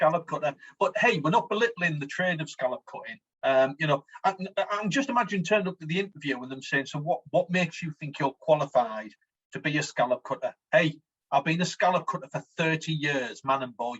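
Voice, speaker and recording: With a Teesside accent, a man talks at a fairly quick pace in a fairly high pitch, his intonation lively and the sound dry and close with no echo. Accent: broad Teesside (smoggy). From Teesside, north-east England. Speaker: podcast co-host. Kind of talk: casual comedic chat. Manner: animated.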